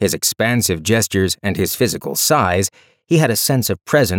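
Lively intonation in a natural reading voice, set against a quiet background

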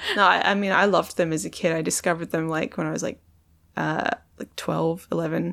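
Speaking with an American accent, a woman uses vocal fry at a fairly quick pace with fairly even intonation. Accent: Australian, perceived as slightly American. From Perth, Australia. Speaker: comedian and poet. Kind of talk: casual interview chat.

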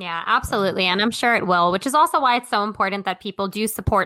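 Very fast and bright, sharp in tone, a woman with medium pitch talks in an American accent. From Brooklyn, New York City. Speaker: travel blogger. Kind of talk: casual interview.

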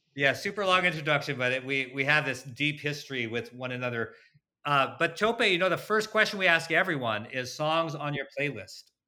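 Recorded very cleanly against a silent background, the voice has a bright, sharp tone and lively intonation. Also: man, fairly high pitch for a man, fairly quick pace. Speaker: podcast host. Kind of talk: podcast interview.

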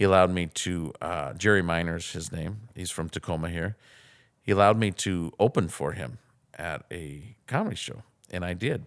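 In a very clean recording with a silent background, a man with an American accent speaks at a very deep, low pitch with big swings in loudness. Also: ordinary pitch variation, moderate pace. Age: 40s. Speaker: comedian and former pastor. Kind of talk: casual interview.

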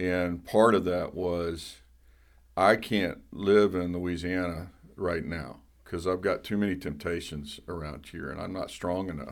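Very deep and low in pitch, a man with a Southern US accent speaks at a fairly slow pace with ordinary pitch variation. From US South. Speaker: pastor.

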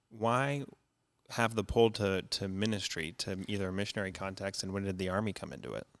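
This man has an ordinary speaking voice, fairly low in pitch with ordinary pitch variation, and he talks at a fairly quick pace on a very clean recording with a silent background. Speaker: pastor and podcast host. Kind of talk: casual interview.

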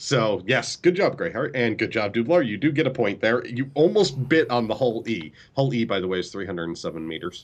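The voice moves at a fairly quick pace with hardly any pauses and very wide pitch swings. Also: man, medium pitch for a man. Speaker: gaming podcast co-host and streamer. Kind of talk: casual chat. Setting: live stream.

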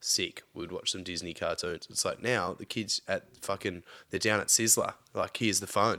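A man with an Australian accent talks at a moderate pace in a very clean recording with a silent background. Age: 30s. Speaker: podcast guest, friend of host. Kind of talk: casual chat.

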